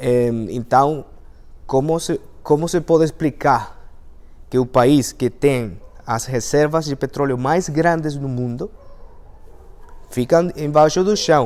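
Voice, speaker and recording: The speaker talks very slowly in a Venezuelan accent, with ordinary pitch variation and long, frequent pauses. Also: man, fairly high pitch for a man. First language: Spanish (speaking Portuguese). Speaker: engineer and language teacher. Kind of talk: talk to an audience. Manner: halting, many fillers.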